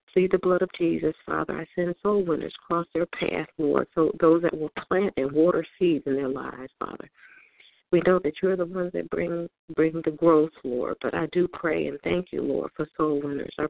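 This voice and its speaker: With a plain, everyday voice, a woman talks at a moderate pace and fairly low pitch, her intonation fairly even. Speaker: prayer participant. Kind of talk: fervent prayer. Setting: phone conference call. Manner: earnest, repeating 'Father' between phrases.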